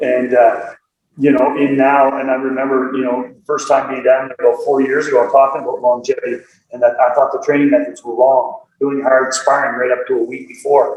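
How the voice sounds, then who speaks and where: A man with a Nova Scotia accent talks at a fairly quick pace. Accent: Atlantic Canadian (Nova Scotia). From Nova Scotia, Canada (Dartmouth). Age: 60s. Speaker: karate instructor. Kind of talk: interview. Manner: animated.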